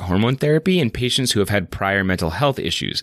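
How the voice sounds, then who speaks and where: Over a very clean recording with a silent background, a man talks at a very fast pace with very wide pitch swings, the sound dry and close without echo. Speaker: primary care physician podcast host. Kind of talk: educational medical podcast discussion.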